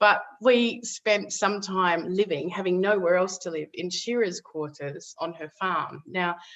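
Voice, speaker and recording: A woman with an Australian accent at medium pitch, fairly slow pace with hardly any pauses, ordinary pitch variation, and big swings in loudness. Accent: Australian, retained. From Western Australia (Perth). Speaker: author and former political adviser. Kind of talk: podcast interview, personal story. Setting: podcast recording.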